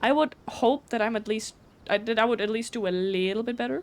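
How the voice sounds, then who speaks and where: A woman with a German accent talks at a fairly quick pace. Her pitch is fairly high, with ordinary variation. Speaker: video game streamer. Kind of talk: casual chat. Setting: live stream. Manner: fast; stuttering.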